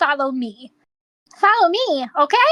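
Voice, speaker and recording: Putting on a character voice, a woman speaks at a high pitch and moderate pace. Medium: actual play.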